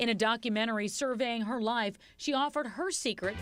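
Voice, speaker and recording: A woman's fairly high, lively voice at a fairly quick pace, with music in the background. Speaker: TV entertainment reporter. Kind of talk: TV news obituary narration.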